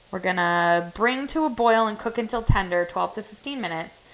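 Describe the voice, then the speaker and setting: A woman speaks at a fairly quick pace with a slight non-native accent. Noticeable background noise is present. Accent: has an accent, slight. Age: 30s. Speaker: home cook streamer. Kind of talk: casual cook-along chat.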